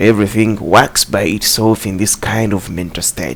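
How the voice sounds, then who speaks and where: The speaker has a non-native accent. Noticeable background noise can be heard. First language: not English. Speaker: self-help video host. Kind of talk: motivational talk, partly reading. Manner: halting, with fillers.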